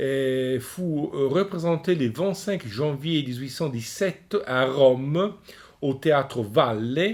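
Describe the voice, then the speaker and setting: A man in an Italian accent, with a fairly high pitch, lively intonation and a very slow pace. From Italy. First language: Italian (speaking French). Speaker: opera lecturer. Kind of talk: lecture. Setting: recorded at home. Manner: hesitant, many fillers.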